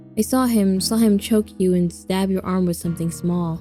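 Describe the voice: A put-on character voice, female-sounding and shaky, at medium pitch and moderate pace, with music in the background.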